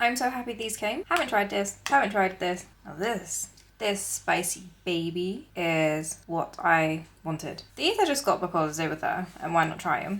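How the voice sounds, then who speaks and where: The intonation is lively. There is vocal fry in the voice. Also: woman, medium pitch for a woman. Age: 30s. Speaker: lifestyle vlogger. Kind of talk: casual vlog narration. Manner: casual; fast.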